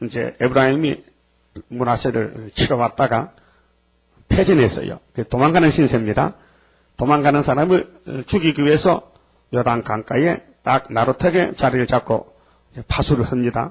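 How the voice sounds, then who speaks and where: A man's raspy, put-on character voice at medium pitch and moderate pace, broken by long, frequent pauses. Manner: strong forceful regional pitch accents.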